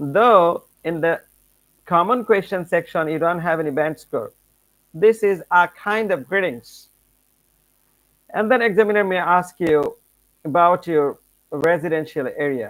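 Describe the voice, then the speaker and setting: Against music in the background, a man with a high pitch speaks at a fairly slow pace, using ordinary pitch variation and long, frequent pauses. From Bangladesh. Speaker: English language teacher. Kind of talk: lecture. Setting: live stream.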